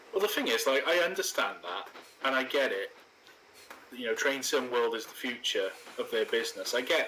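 With a Welsh accent, a man talks fairly quickly amid noticeable background noise, his loudness swinging widely between long, frequent pauses. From Wales. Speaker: video host, train simulator gameplay. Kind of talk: casual chat with gameplay commentary. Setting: online voice call while recording gameplay.

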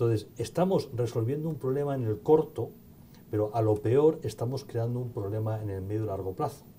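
Somewhat breathy and dark, mellow in tone, a man talks at a fairly quick pace with ordinary pitch variation over light background noise. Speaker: event moderator. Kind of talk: Q&A moderation. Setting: conference hall with audience. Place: hall. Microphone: podium.

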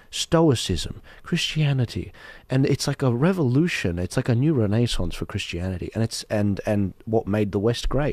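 A man with an Australian accent speaks at a medium pitch with lively intonation, the sound dry with no echo and the background quiet. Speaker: podcast host. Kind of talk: heated debate. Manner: animated. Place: studio. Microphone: studio mic.

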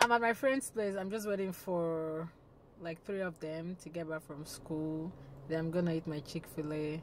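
A woman's very deep, low voice at a moderate pace, with ordinary pitch variation, a dry sound with no echo, and noticeable background noise. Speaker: vlogger. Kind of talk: casual vlog chat. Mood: cheerful, playful. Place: car.

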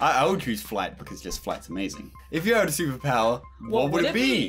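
Music plays behind the voice. The man talks fairly quickly. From Australia. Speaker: gaming YouTuber. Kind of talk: casual talk to camera.

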